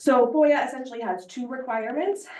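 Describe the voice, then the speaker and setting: A woman's voice with audible room echo. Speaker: attorney giving board training. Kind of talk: presentation.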